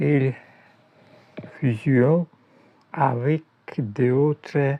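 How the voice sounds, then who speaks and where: A man talks at a medium pitch. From Russia. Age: 60s. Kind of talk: reading aloud. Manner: halting.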